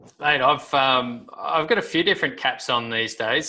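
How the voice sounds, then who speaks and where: The recording is very clean, its background silent. In it, a man speaks with an Australian accent. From Australia, Sydney. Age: 30s. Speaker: professional golfer. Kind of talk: casual interview chat.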